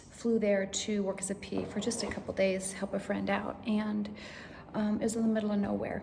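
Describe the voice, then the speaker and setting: A woman speaks at a medium pitch in a monotone, flat intonation. Audible room echo and noticeable background noise surround her voice. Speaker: vlogger sharing brain tumor recovery. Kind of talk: personal testimony. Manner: halting, many fillers.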